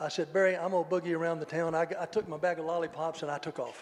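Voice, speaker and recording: Amid noticeable background noise, a man with a high pitch and an animated tone talks at a very fast pace. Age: 70s. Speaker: church member sharing mission trip story. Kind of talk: testimony.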